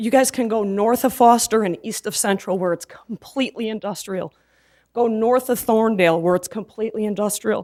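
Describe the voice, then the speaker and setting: A woman speaks at a moderate pace in a fairly high, shaky voice with a dark, mellow tone and fairly even intonation. The recording is very clean, with a silent background. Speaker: resident speaking at public comment. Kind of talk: public comment at city council meeting.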